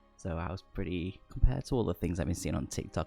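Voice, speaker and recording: A man is talking very fast. Behind him, music is playing. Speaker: book reviewer. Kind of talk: casual talk to camera, book review. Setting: close to microphone.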